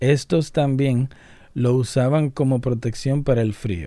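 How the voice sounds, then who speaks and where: With a dark, mellow tone, a man talks at medium pitch and moderate pace. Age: 30s. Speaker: YouTuber. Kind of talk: casual vlog monologue. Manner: animated.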